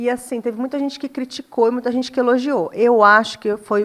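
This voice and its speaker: A fairly high-pitched woman at a fairly quick pace, with ordinary pitch variation. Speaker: dermatologist. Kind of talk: casual chat. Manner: fast.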